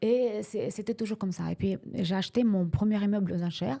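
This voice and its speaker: A woman speaks at a moderate pace in a dark, mellow tone that is somewhat breathy, with ordinary pitch variation. The recording is very clean, with a silent background. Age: 60s. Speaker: real estate investor. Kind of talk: interview. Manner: halting.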